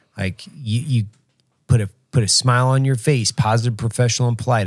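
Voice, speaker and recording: Medium in pitch and somewhat breathy, a man speaks at a fairly quick pace. His pitch variation is ordinary. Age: 40s. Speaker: podcast host. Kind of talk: casual chat.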